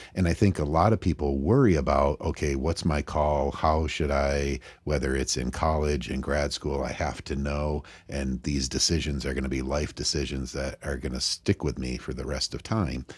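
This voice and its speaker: An American-accented man speaks at a moderate pace in a very deep, low pitch with vocal fry. His intonation is fairly even, with hardly any pauses. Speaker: podcast host. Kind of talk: casual interview chat.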